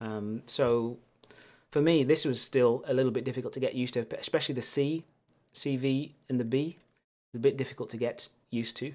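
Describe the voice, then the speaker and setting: A man with a Lancashire accent talks at a fairly quick pace, his intonation fairly even, with long, frequent pauses. The recording is very clean with a silent background. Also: medium pitch for a man. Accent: northern English (Lancashire). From northern England, Lancashire near Manchester. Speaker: keyboard builder streamer, teacher. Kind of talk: livestream casual chat. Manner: casual, hesitant with fillers.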